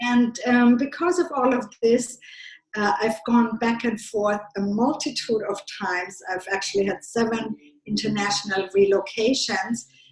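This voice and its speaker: Her voice sits at a fairly high pitch, with a slight German accent. The woman speaks at a fairly slow pace with ordinary pitch variation. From Germany. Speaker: business consultant. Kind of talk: podcast interview. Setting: call.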